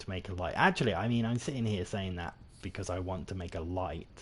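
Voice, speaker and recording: A man speaks in a British accent with a fairly low pitch. His voice is somewhat breathy, with ordinary pitch variation. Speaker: gaming streamer. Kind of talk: live gameplay commentary. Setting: livestream. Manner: casual, rambling with frequent fillers.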